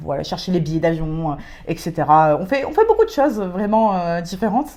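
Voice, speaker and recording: The woman's voice sits fairly low in pitch. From France and Britain. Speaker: podcast co-host, civic service volunteer. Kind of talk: casual chat. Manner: hesitant, many fillers.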